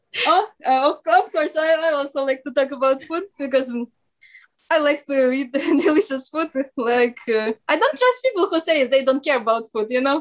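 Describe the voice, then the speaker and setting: A woman with a Russian accent talks at a moderate pace in a high pitch with ordinary pitch variation. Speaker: radio show guest. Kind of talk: casual chat. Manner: halting.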